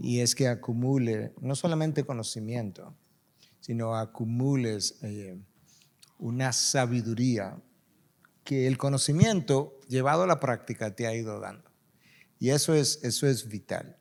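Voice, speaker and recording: On a very clean recording with a silent background, a man speaks at a fairly slow pace and medium pitch, with ordinary pitch variation and long, frequent pauses. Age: 60s. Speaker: pastor. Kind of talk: panel discussion.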